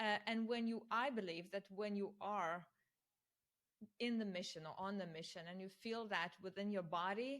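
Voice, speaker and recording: Here is a woman with a non-native accent and a medium pitch. She talks at a moderate pace with ordinary pitch variation. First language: not English. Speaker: interviewer. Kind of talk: interview.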